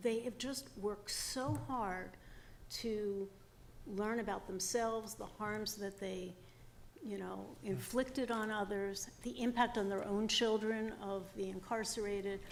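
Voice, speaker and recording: A woman's fairly slow speech amid audible room echo. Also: medium pitch for a woman, fairly even intonation. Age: 60s. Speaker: former parole board commissioner. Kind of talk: testimony. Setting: public hearing.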